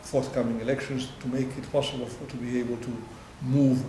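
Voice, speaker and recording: A man at a very fast pace in monotone, flat intonation, with noticeable background noise. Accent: Greek. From Greece. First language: Greek. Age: 60s. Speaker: EU ombudsman. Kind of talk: interview answer.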